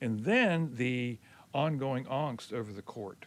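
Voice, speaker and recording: A man with an American accent speaks in an ordinary speaking voice, at a medium pitch with ordinary pitch variation. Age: 60s. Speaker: college radio host and professor. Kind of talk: casual panel discussion.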